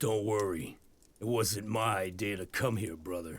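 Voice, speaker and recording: Using a put-on character voice, a man talks at a moderate pace with a raspy, fairly low pitch and ordinary pitch variation. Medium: video game. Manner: blunt, dry.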